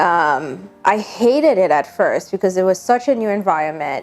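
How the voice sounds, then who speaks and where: A woman speaks at a medium pitch and a moderate pace, with very wide pitch swings. Music plays in the background. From Haiti. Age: 30s. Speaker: vlogger. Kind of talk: personal vlog monologue.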